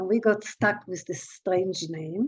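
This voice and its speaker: Ordinary pitch variation marks this delivery, which unfolds at a very slow pace. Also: woman. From Israel (born in Haifa). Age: 80s+. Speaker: human rights activist. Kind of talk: talk. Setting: video call. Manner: halting.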